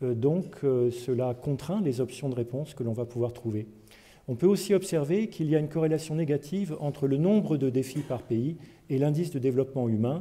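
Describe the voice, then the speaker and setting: Fairly high-pitched male voice at a fairly quick pace, somewhat breathy and dark, mellow in tone, with ordinary pitch variation. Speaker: agricultural research scientist. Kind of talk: lecture.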